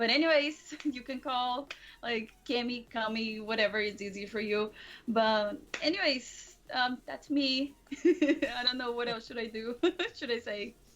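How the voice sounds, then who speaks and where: Speaking with a Portuguese accent, a woman with a high pitch goes at a fairly slow pace with ordinary pitch variation and long, frequent pauses. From Brazil. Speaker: streamer. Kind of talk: casual chat. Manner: quiet.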